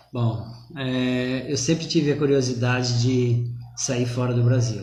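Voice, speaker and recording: A man speaks at a medium pitch in a monotone, flat way. Room echo is audible, and there is noticeable background noise. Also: fairly slow pace. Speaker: personal trainer, business owner. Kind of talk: live online interview. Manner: soft-spoken. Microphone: too quiet.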